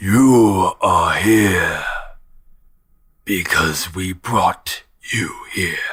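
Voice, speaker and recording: A man uses a raspy, put-on character voice at a medium pitch. He speaks at a very slow pace with long, frequent pauses. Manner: unearthly, ominous.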